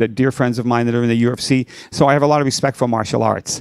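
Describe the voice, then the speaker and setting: A man with an ordinary speaking voice at a medium pitch. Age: 60s. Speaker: rock and blues guitarist. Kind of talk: podcast interview.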